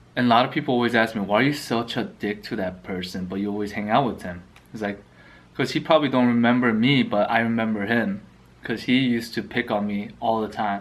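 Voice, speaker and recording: A man speaks with a Korean accent. His pace is very fast. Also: medium pitch for a man, ordinary pitch variation. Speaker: mukbang youtuber. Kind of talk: casual chat while eating.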